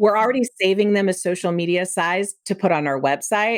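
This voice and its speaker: Medium pitch and a fairly quick pace in a woman's unremarkable speaking voice. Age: 50s. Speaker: Pinterest marketing expert and photographer. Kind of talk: interview.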